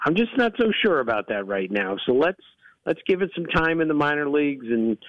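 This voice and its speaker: This man's voice sits fairly high in pitch. He keeps up a fairly quick pace. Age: 60s. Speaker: baseball analyst. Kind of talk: radio interview.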